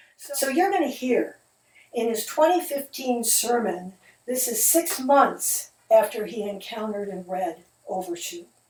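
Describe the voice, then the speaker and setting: A woman's fairly high voice with an Upper Midwest accent, fairly slow, with very wide pitch swings and big swings in loudness. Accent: Upper Midwest American. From US Midwest, Detroit, Michigan. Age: 70s. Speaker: video narrator, widow of the preacher. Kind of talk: casual spoken introduction to a video. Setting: at home, seated at a table.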